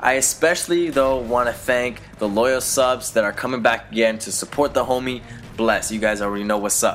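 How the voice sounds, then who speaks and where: With music in the background, a man speaks at a moderate pace with a medium pitch and ordinary pitch variation. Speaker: gaming YouTuber. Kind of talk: vlog commentary. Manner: casual, halting with fillers.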